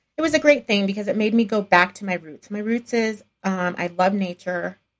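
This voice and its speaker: In an American accent, a woman with a plain, everyday voice speaks at a medium pitch and moderate pace with ordinary pitch variation. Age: 40s. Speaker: entrepreneur and podcaster. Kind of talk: interview conversation.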